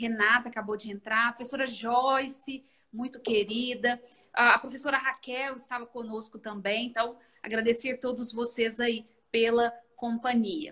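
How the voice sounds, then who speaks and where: A woman's high-pitched, bright, sharp voice, fairly slow and monotone, with flat intonation. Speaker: law professor, host. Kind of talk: interview.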